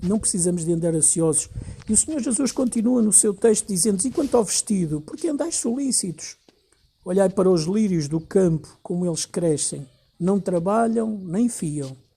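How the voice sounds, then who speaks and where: Speaking in a European Portuguese accent, a man has a high pitch, a dark, mellow tone, lively intonation and a moderate pace. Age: 60s. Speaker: pastor. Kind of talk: sermon.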